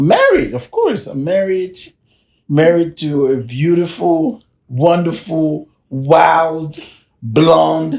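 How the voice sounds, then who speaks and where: A man with a French accent, very slow pace and ordinary pitch variation. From Cameroon. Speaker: business consultant, podcast co-host. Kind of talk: casual chat. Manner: halting.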